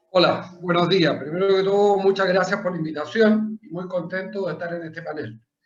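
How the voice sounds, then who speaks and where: The man's pitch is high and his intonation fairly even. He talks fairly quickly with hardly any pauses and big swings in loudness. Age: 60s. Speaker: political candidate, businessman. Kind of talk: self-introduction in panel.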